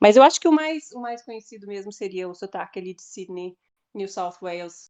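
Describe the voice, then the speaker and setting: Lively intonation runs through the speech of a woman with an Australian accent. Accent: Australian accent when speaking English. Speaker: English teacher. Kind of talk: podcast interview. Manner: halting, many repetitions.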